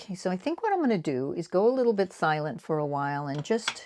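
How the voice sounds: At a moderate pace, a woman talks in a fairly low pitch with a slightly mellow tone.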